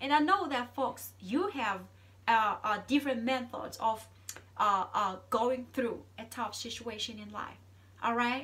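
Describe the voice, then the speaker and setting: A woman speaks at a fairly slow pace in a high-pitched voice with a bright, sharp tone and ordinary pitch variation. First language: Zulu. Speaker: vlogger. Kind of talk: casual monologue. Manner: halting, many repeated words.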